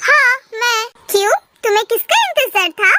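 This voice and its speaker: With a dry, close sound and no echo, a woman does a squeaky put-on character voice at an extremely high pitch and a fairly slow pace. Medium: read story. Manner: insistent, bossy.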